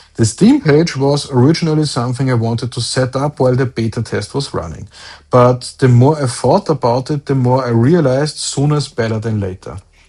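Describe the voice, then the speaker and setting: The voice moves at a fairly quick pace, somewhat breathy, with a dark, mellow tone. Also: man. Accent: German. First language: German. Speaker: solo indie game developer, video blogger. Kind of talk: video diary update.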